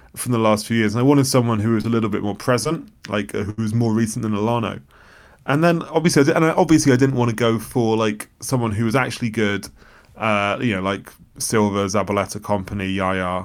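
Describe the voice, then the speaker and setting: At a very fast pace, a man with medium pitch and ordinary pitch variation speaks on a very clean recording with a silent background. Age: 30s. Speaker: football journalist. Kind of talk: casual chat.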